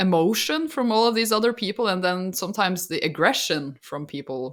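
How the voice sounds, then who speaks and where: A woman with a Norwegian accent speaks at a fairly quick pace in a medium pitch, her voice swinging very widely in pitch, on a very clean recording with a silent background. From Norway. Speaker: podcast co-host and artist YouTuber. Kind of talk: casual chat. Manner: frequent fillers like and kinda.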